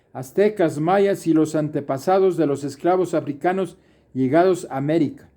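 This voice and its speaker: This man has a dark, mellow tone and a high pitch, talking at a fairly slow pace with ordinary pitch variation. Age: 70s. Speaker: retired university professor. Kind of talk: lecture.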